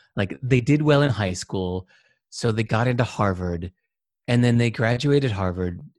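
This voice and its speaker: Somewhat breathy speech comes at a moderate pace with ordinary pitch variation, in a dry, close sound with no echo. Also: man. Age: 50s. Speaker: entrepreneur and author. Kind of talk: casual interview. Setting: video call.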